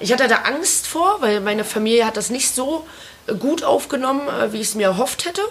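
With noticeable background noise behind her, a woman talks at a fairly quick pace in a high pitch that makes very wide swings. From Lower Saxony, small village. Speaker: podcast co-host. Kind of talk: casual chat.

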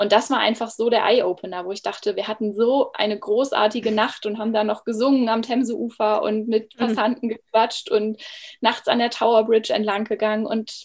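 A woman with a normal speaking voice, fairly high in pitch, at a moderate pace. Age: 30s. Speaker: former primary school teacher, coach. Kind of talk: interview. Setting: video call.

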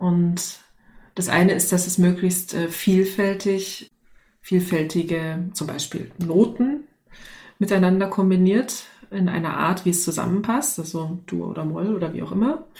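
A woman's somewhat breathy, medium-pitched voice with a dark, mellow tone at a fairly slow pace, with audible room echo. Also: ordinary pitch variation. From East Germany. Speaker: organisational development consultant. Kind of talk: casual chat.

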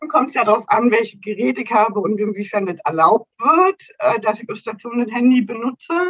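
This woman has a plain, everyday voice, pitched fairly high, and she talks at a fairly quick pace with lively intonation and big swings in loudness. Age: 30s. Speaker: nursing educator. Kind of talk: interview.

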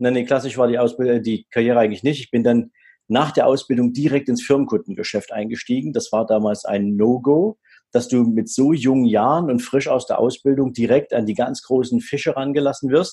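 Speaking at a fairly quick pace over a quiet background, a man with a medium-pitched, dark, mellow voice shows ordinary pitch variation. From former East Germany. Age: 40s. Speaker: wealth manager and business coach. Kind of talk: interview.

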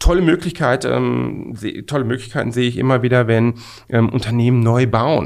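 This man speaks at a moderate pace, his medium pitch moving with ordinary variation. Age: 50s. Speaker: management consultant. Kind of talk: interview. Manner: halting, many fillers.

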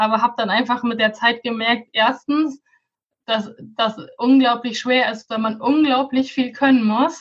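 The speaker has a plain, everyday voice. The pace is moderate and the intonation fairly even. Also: woman. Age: 20s. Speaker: Pinterest consultant and coach. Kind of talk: podcast interview.

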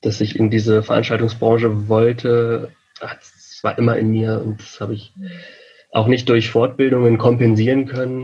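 A man speaks in a flat monotone. His loudness shifts in big swings. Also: medium pitch for a man, moderate pace. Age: 30s. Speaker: event technician and lecturer. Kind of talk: interview.

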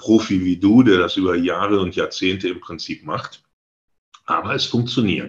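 A man with a fairly low pitch goes at a fairly slow pace. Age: 60s. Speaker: real estate agent, licence partner, former sales manager. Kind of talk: interview. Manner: halting, frequent fillers.

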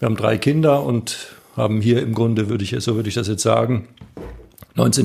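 The man's voice is somewhat breathy. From northern Baden, southern Germany. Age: 50s. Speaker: pastor, candidate for church office. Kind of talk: interview. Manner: hesitant, many fillers.

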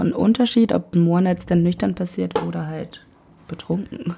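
A woman's voice amid noticeable background noise. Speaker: podcast guest. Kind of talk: casual chat. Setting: home room recording.

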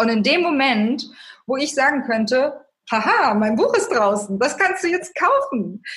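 Her pitch is high, and she is a woman speaking at a fairly slow pace. Her voice moves in very wide pitch swings. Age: 30s. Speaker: author and life coach. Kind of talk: interview.

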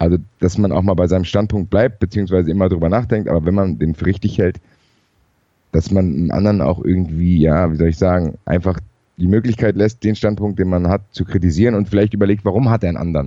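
A man's very deep, low voice with a dark, mellow tone, very fast pace, ordinary pitch variation and very even loudness. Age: 30s. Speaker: football podcaster. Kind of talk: casual discussion.

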